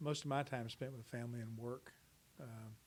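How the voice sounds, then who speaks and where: Speaking in a Texan accent, a man keeps his intonation fairly even. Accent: Texan American. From Dallas, Texas. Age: 60s. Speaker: interviewee. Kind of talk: interview. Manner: hesitant, with many fillers.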